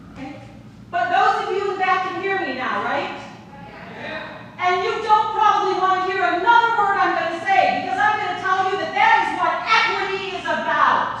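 Amid noticeable background noise and audible room echo, a woman with an extremely high pitch speaks in a raised, projected voice at a moderate pace with fairly even intonation. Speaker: teacher, public commenter. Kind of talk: public comment. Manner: loud, projecting.

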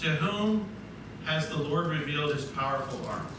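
At a fairly slow pace, a man speaks with ordinary pitch variation amid audible room echo and noticeable background noise. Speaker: preacher. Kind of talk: sermon. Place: church.

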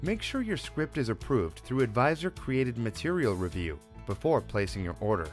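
Faint music plays in the background as a man with an American accent speaks at a moderate pace. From Wisconsin, USA. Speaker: voice actor. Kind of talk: corporate explainer narration. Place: studio. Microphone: studio mic.

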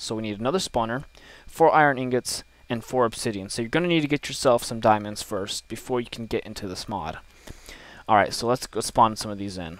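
A fairly quick pace with ordinary pitch variation. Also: man. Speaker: gaming youtuber. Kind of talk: tutorial. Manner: fast; hesitant with fillers.

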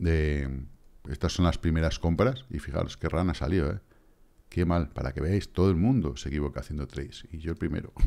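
In a very clean recording with a silent background, a man's very deep, low voice carries vocal fry and a dark, mellow tone. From Spain. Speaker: crypto trading youtuber. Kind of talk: casual monologue with chart analysis. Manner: animated.

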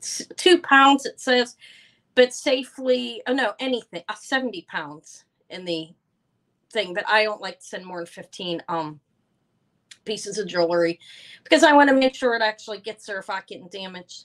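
A woman speaks loudly at a moderate pace, her fairly bright tone set at medium pitch with ordinary pitch variation.

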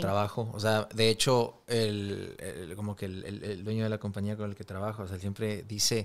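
A man's fairly low voice at a moderate pace, with hardly any pauses and fairly even intonation. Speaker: podcast host. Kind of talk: interview question, casual podcast talk. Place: studio. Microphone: studio mic.

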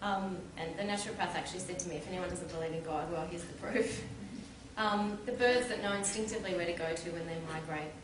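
A woman at medium pitch talks very fast with ordinary pitch variation. Noticeable background noise and audible room echo come through. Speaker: convert speaker. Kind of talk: public talk, testimony. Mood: calm, sincere. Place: hall. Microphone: camera far.

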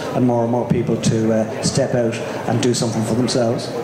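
A man speaks very fast amid noticeable background noise and audible room echo. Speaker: speaker. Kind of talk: presentation talk. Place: hall. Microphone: handheld.

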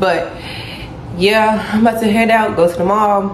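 Against light background noise and audible room echo, a woman speaks at a moderate pace. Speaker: vlogger. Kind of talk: casual vlog chat. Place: kitchen. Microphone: phone near.

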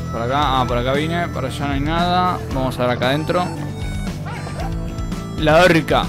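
A man speaks with long, frequent pauses. Clear music plays in the background. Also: moderate pace. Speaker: indie game developer. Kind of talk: casual video game commentary. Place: home room. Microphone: studio mic.

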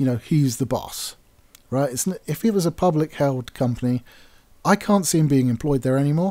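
Lively intonation marks this man's speech, delivered at a moderate pace with an English accent. His medium-pitched voice has a dark, mellow tone. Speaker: gaming YouTuber. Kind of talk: commentary rant. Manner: casual, hesitant fillers.

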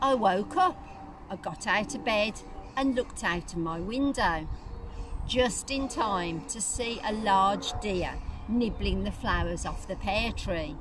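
Speaking at a very slow pace, a woman's voice sounds dry with no echo. Noticeable background noise is present. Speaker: church minister or preacher. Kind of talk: sermon reflection. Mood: calm, gentle, reflective. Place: garden. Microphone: phone near.

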